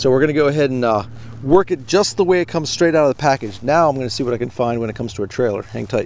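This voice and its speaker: Amid noticeable background noise, a man with a medium pitch talks very fast with lively intonation. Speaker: fishing video host. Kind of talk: outdoor fishing tutorial vlog. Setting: outdoors at a lake. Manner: stuttering today; casual, conversational with fillers.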